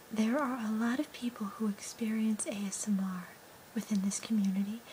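Soft-spoken and with a gentle tone, a woman speaks at a moderate pace over light background noise. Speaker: ASMR role-play host. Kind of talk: soft ASMR role-play talk. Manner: soft-spoken ASMR murmur, gentle and slow. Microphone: phone near.

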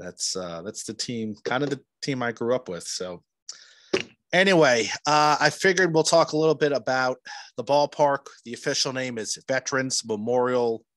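A man with an American accent speaks at a moderate pace with lively intonation. The sound is dry with no echo, against a quiet background. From New Jersey. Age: 40s. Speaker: podcast host. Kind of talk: podcast outro; casual interview chat. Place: home room. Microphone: studio mic.

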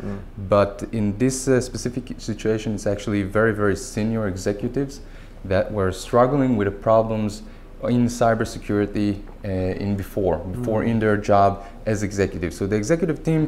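Over light background noise, a man with a plain, everyday voice and a fairly low pitch talks at a fairly quick pace with ordinary pitch variation. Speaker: guest. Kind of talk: interview answer. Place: studio. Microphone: lapel.

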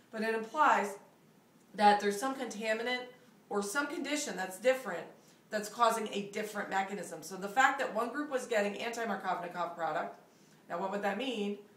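With audible room echo, a woman talks at a fairly quick pace and ordinary pitch variation. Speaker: chemistry teacher. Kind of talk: lecture. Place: home room. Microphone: camera far.

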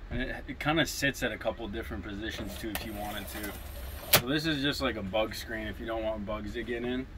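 A man's voice at a moderate pace, with noticeable background noise. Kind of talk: interview answer. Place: home room. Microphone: camera far.

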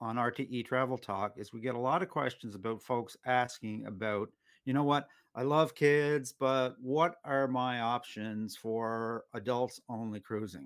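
Fairly slow speech, ordinary pitch variation and a quiet background. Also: man. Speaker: show host. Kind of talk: interview questions. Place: home room. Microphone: webcam.

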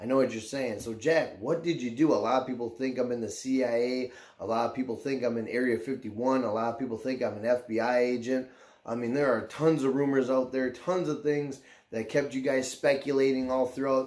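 A man's intonation stays fairly even as he talks at a moderate pace. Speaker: YouTuber. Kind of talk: casual vlog chat. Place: home room.

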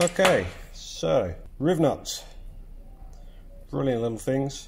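The man talks very slowly while noticeable background noise carries on behind him. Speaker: DIY mechanic. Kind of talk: workshop tutorial talk. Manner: casual, hesitant with fillers. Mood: relaxed, friendly. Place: workshop. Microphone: phone near.

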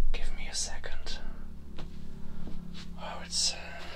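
A man speaks at an extremely high pitch. Noticeable background noise can be heard. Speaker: ASMR creator. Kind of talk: ASMR talk to camera. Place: home room. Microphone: studio mic.

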